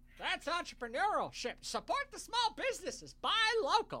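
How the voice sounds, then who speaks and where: An extremely high, put-on character voice swings very widely in pitch. The pace is moderate. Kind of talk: joking.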